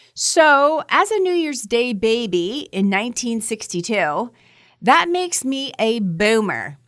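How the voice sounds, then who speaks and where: A woman talks at a fairly slow pace in a fairly high pitch. Her pitch swings very widely. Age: 60s. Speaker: podcast host and business coach. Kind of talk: podcast monologue.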